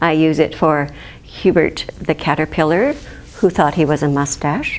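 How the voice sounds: Speaking at a moderate pace, a woman has a low voice. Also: ordinary pitch variation.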